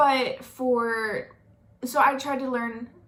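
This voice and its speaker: A woman speaks in a fairly high pitch with a bright, sharp tone. She has a slight Southern US accent. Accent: slight Southern drawl. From US South, North Florida. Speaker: vlogger. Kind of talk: casual vlog monologue.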